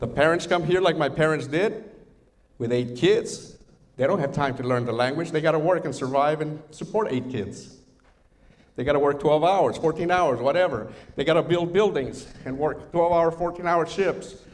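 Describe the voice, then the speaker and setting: A man with a Spanish accent speaks in a fairly high voice with ordinary pitch variation. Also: moderate pace. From Mexico, raised in the US. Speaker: workshop speaker, retired air force. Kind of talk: workshop presentation.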